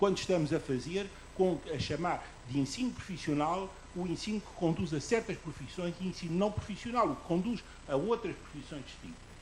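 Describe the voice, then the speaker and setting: A man speaks at a high pitch with ordinary variation and big swings in loudness. Noticeable background noise is present. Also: moderate pace. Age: 70s. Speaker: audience member at public debate. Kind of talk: public debate comment. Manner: halting.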